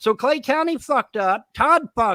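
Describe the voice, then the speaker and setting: Over a silent background in a very clean recording, a man's pitch swings very widely, the sound dry and close with no echo. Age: 60s. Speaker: livestreamer. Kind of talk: angry rant. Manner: heated, profane.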